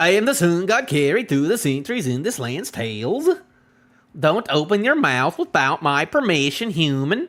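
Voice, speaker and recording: In a put-on character voice with a Scottish accent, a man speaks high in pitch at a moderate pace. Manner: commanding, domineering.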